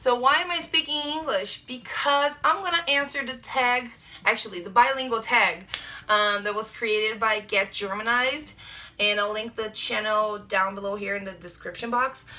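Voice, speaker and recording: A woman with a fairly high voice talks at a medium pace while clear background noise carries on. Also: lively intonation. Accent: Brazilian. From Brazil. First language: Portuguese. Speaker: vlogger. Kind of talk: casual vlog talk. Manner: hesitant, many fillers.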